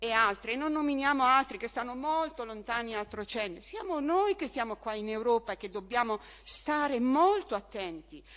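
A woman's high voice carries along at a moderate pace. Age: 60s. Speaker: opposition town councillor. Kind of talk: council debate speech.

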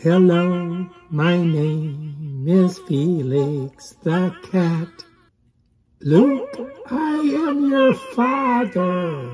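A put-on character voice at a middle pitch, very slow, with music in the background. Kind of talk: playful mic test with impressions. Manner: funny, exaggerated.

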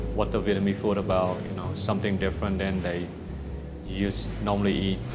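Music plays behind a man who keeps a moderate pace. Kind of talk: interview answer. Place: bar.

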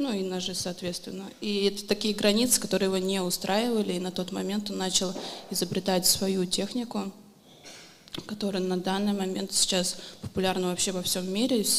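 Amid noticeable background noise and audible room echo, a woman speaks in a monotone, flat way. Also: medium pitch for a woman, moderate pace. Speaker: knife thrower and coach. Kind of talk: interview on stage.

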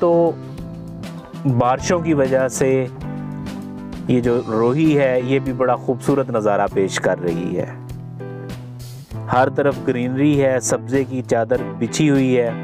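Very slow delivery with long, frequent pauses and ordinary pitch variation, dry with no echo, clear music in the background. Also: man. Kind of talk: travel commentary. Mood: calm, admiring. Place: car. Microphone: phone near.

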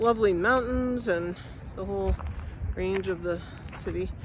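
At a moderate pace, a woman speaks in a dry sound with no echo. Noticeable background noise runs underneath. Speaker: vlogger. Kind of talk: casual vlog chat. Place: open country. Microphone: phone near.

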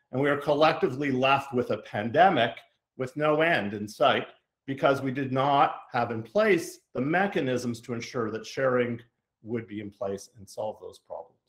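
Over a quiet background, a man talks at a moderate pace with big swings in loudness. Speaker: event host introducing speaker. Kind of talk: formal introduction. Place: home room. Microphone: video call.

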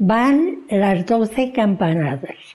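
Against a quiet background, a woman speaks at a very slow pace with a fairly high voice and very wide pitch swings. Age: 80s+. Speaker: grandmother explaining New Year's Eve chimes. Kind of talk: humorous tutorial to camera. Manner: cheerful, good-humoured. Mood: warm, good-humoured. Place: home room.

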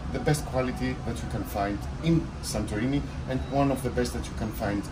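Noticeable background noise runs through the clip. A man speaks at a moderate pace. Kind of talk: interview answer. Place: cafe. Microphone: phone near.

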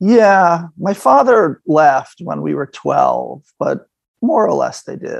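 Speaking at a very slow pace, a man with an American accent shows big swings in loudness. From Boston suburbs, Massachusetts. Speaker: painter and art professor. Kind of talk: casual interview conversation.

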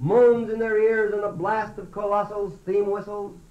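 A man with an American accent speaks at a high pitch over noticeable background noise. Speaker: poet. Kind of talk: poetry reading.

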